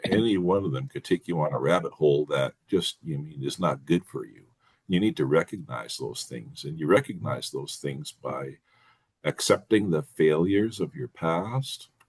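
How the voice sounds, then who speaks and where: A man with a very deep, low pitch and vocal fry talks at a moderate pace, with very wide pitch swings, big swings in loudness, and a dry, close sound with no echo. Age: 60s. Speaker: men's support group member. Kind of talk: casual group discussion. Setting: video call. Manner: halting.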